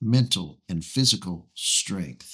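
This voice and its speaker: A man speaks in a bright, sharp tone with very wide pitch swings. Vocal fry shows up in his voice. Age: 60s. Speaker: pastor. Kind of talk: sermon-style podcast teaching. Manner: emphatic, rhetorical questions.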